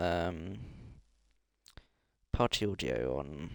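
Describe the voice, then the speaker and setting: A man's voice at a very slow pace with very wide pitch swings. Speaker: esports race league organiser. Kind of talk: casual chat while hosting an online race lobby.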